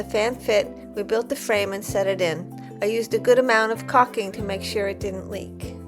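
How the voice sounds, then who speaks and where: Fairly quick speech from a woman, backed by music. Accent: American. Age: 60s. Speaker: van life traveler. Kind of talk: casual DIY van build narration.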